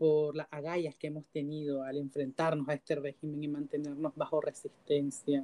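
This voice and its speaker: A woman's very deep, low voice with a dark, mellow tone at a moderate pace, the sound dry and close with no echo. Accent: Nicaraguan. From Nicaragua. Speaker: LGBTQ rights activist. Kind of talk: interview.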